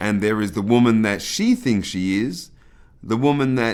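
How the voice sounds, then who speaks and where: Speaking in a British accent, this man keeps his voice at a medium pitch. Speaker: pastor. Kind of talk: scripted narration.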